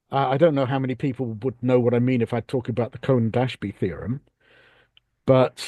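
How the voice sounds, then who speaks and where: A man with a British accent, a dark, mellow tone, fairly even intonation and a moderate pace, in a dry, close sound with no echo and a quiet background. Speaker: audience member at online talk. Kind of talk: Q&A comment in online discussion. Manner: halting, many repetitions.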